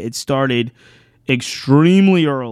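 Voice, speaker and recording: The man's pitch is medium, heard on a very clean recording with a silent background. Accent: American. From Richmond, Virginia (US South). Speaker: podcast host. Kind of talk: solo recap monologue.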